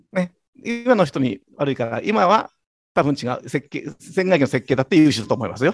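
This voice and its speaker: Very wide pitch swings mark speech delivered at a moderate tempo. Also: man, fairly high pitch for a man. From Yokosuka, Kanagawa, Japan. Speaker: company president. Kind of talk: interview.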